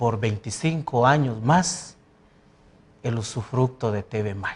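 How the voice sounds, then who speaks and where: A man speaks with a Guatemalan accent at a medium pitch, his voice somewhat breathy. His intonation is lively. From Guatemala, Santa Cruz, Alta Verapaz. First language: Poqomchi' (speaking Spanish). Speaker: president of a language academy. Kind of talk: TV interview.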